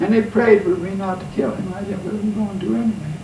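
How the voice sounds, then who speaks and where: A man with a high pitch over noticeable background noise. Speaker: war veteran. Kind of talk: interview answer.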